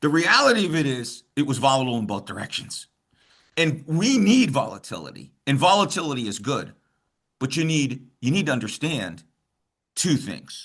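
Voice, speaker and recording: With an American accent and a normal speaking voice, a man at fairly high pitch uses lively intonation at a moderate pace. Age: 60s. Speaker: finance and bitcoin mining expert. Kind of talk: interview. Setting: video call.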